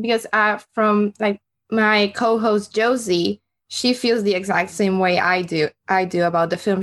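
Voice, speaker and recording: A woman at a moderate pace, with medium pitch and ordinary pitch variation. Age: 20s. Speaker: film podcast host. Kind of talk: casual film review chat.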